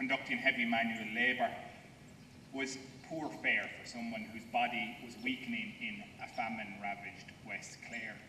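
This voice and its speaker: A man with an Irish accent speaks with big swings in loudness, long, frequent pauses and fairly even intonation. Audible room echo and light background noise are present. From Ireland. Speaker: historian. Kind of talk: ceremonial speech. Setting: outdoors. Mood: solemn, respectful. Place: open country. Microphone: podium.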